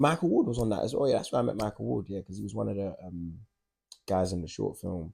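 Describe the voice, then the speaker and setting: In a South London accent, a man talks at a very fast pace with lively intonation, his fairly low voice carrying a dark, mellow tone. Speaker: actor and writer. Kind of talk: interview answer. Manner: casual, conversational.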